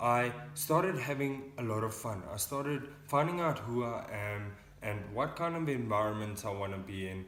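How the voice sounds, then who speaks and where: Audible room echo surrounds a man's medium-pitched voice. He talks at a moderate pace with lively intonation. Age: 20s. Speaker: young person in addiction recovery. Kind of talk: casual vlog talk.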